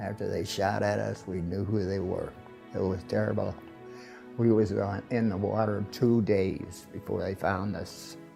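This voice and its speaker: Music plays in the background as a man speaks. His pace is fairly slow. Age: 80s+. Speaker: war veteran. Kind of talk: interview answer.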